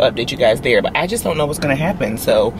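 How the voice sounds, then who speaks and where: This woman's voice is pitched very deep and low, recorded dry with no echo but with noticeable background noise. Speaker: pregnant vlogger. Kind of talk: casual vlog chat. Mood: anxious, uncertain.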